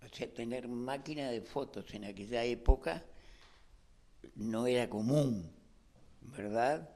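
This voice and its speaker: At a very slow pace with long, frequent pauses, a man speaks in a dark, mellow tone at medium pitch, with ordinary pitch variation and big swings in loudness. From Uruguay, Montevideo. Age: 80s+. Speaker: photographer and industrial property agent. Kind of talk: interview testimony. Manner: halting, with fillers.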